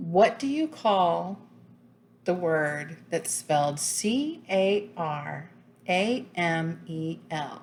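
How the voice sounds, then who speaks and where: A woman with an American accent speaks very slowly at a fairly low pitch with lively intonation. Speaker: fiber arts YouTuber. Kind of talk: casual tag video monologue. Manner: casual, with frequent fillers.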